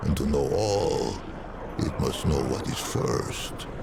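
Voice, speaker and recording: Loud background noise fills the clip. A man performs a put-on character voice at a fairly slow pace. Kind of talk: slow, soothing storytelling. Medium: machinima. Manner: measured, archaic phrasing, sighing.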